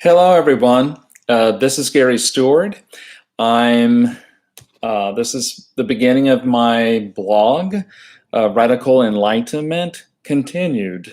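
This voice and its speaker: A man with lively intonation, speaking at a very slow pace. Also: medium pitch for a man. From Texas, Houston. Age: 60s. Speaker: retired social worker and activist. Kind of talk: personal monologue. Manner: hesitant, many fillers.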